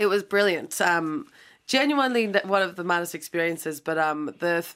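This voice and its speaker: Lively intonation and a fairly quick pace mark this speech in an Irish accent. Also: woman. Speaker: DJ and radio presenter. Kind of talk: casual interview.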